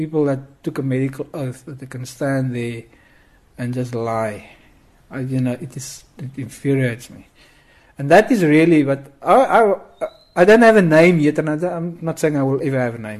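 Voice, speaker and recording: A man talks at a moderate pace with lively intonation. His loudness swings widely. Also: fairly high pitch for a man. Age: 40s. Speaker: amateur detective. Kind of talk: interview. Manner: urgent; halting.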